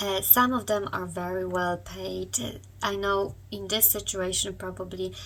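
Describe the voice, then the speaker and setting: With audible room echo, a woman speaks at a fairly slow pace. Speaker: online business youtuber. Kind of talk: tutorial. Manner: hesitant, with fillers.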